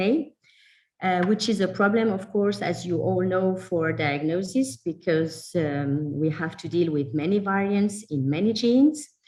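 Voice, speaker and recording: A woman with a French accent at a fairly slow pace. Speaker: genetics researcher. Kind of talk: lecture. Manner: hesitant, many fillers.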